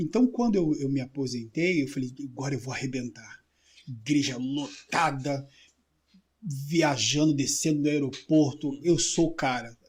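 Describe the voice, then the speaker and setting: The man's pitch is fairly high, with ordinary variation, and his voice is somewhat breathy. He keeps a moderate pace. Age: 60s. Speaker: preacher, retired air force serviceman. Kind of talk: testimony.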